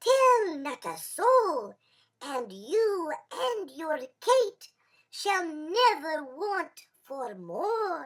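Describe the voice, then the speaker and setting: A put-on character voice at an extremely high pitch, with very wide pitch swings and a very slow pace. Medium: read story. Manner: sly, playful.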